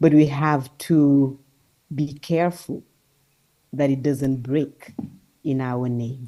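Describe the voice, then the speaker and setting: A woman's very deep, low voice with a dark, mellow tone, flat and monotone, very slow and broken by long, frequent pauses. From Senegal. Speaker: conference speaker. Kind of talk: conference talk.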